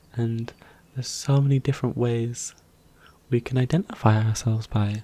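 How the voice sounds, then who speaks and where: A man speaks at a moderate pace in a medium pitch, his voice somewhat breathy. His tone is relaxed, with ordinary pitch variation. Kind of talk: soft-spoken ASMR roleplay talk to the viewer. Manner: soft, calming, relaxed.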